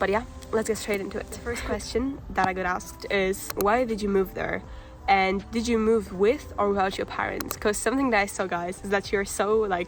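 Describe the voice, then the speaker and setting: With a Polish accent, a woman speaks at a moderate pace and fairly even intonation over noticeable background noise. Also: medium pitch for a woman. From Poland. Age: 18. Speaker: vlogger. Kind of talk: casual vlog talk.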